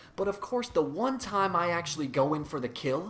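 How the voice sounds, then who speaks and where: Here a man speaks at a fairly high pitch and a moderate pace. His pitch swings very widely. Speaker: gaming YouTuber. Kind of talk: game walkthrough commentary. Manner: stuttering.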